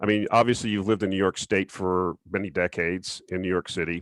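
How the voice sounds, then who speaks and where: A man with an American accent speaks at a fairly quick pace in an unremarkable speaking voice with fairly low pitch, recorded very cleanly with a silent background and a dry, close sound with no echo. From southern Florida. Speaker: interview host. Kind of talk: interview.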